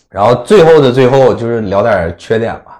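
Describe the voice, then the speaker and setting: A man speaks with a strong Northeastern Chinese accent at a medium pitch. His intonation is lively. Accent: strong Northeastern Mandarin. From Northeast China (Inner Mongolia part). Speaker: podcast host. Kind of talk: casual chat.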